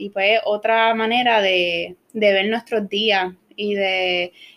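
A woman speaks in a plain, everyday voice. Her pitch is fairly high and her intonation fairly even. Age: 20s. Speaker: university student. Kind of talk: bible study discussion.

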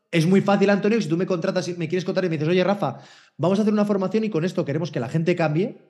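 A man talks at a very fast pace with a Spanish accent. His pitch is high, with ordinary variation. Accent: Spanish (Spain). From Spain. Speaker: HR innovation consultant. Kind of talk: interview conversation.

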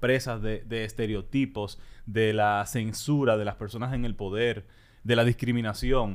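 A man at medium pitch, at a very slow pace. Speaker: political podcast co-host. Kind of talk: casual political discussion.

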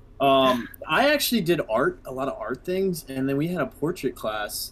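A man speaks with ordinary pitch variation while noticeable background noise runs underneath. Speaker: podcast co-host. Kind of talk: casual chat.

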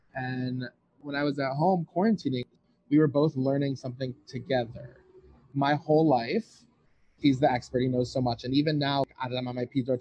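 A man with an American accent speaks at a fairly quick pace in a plain, everyday voice. His pitch is medium and his intonation fairly even. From US Midwest, suburban Detroit, Michigan. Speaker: medical student. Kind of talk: interview. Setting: outdoors on a patio.

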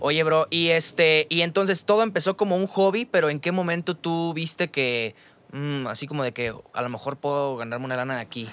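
Fairly high in pitch, a man with a Mexican accent talks at a fairly quick pace with lively intonation. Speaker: podcast host. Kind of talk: casual chat. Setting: studio.

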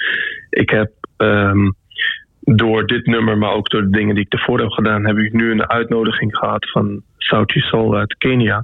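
A man with a fairly low pitch speaks at a fairly slow pace in a monotone, flat delivery. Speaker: musician. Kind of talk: radio interview. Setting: remote call. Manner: halting.

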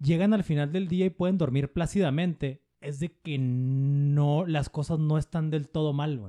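With an unremarkable speaking voice, a man talks at a fairly slow pace with hardly any pauses, his fairly high pitch showing ordinary variation. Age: 40s. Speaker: podcast host. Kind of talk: casual chat.

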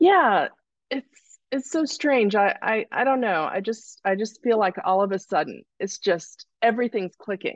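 A woman with a fairly high pitch speaks fairly slowly with lively intonation in an unremarkable speaking voice, the sound dry and close with no echo. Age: 50s. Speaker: coaching client. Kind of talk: live Q&A testimony.

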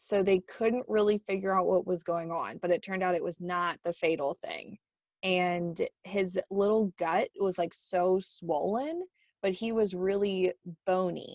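In an ordinary speaking voice, a woman talks at a fairly slow pace with medium pitch and fairly even intonation, the sound dry and close with no echo. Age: 30s. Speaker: podcast co-host and education center manager. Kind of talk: casual chat.

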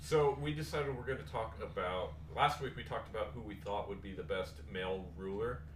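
A man speaks at a fairly quick pace with hardly any pauses, his very deep, low voice swinging very widely in pitch. Noticeable background noise runs behind him. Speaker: podcast host. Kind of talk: casual chat.

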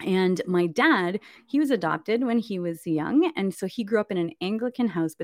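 A woman with a Canadian accent and a normal speaking voice talks at a fairly quick pace with lively intonation, recorded very clean with a silent background and a dry, close sound with no echo. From Canada. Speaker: consecrated virgin and speaker. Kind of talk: conversion testimony. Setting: livestream.

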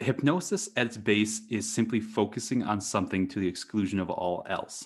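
Here is a man with an American accent and an unremarkable speaking voice. His pitch is fairly low with ordinary variation, and his pace is moderate. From US Midwest, rural western Wisconsin. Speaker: hypnosis consultant and podcaster. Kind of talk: interview conversation.

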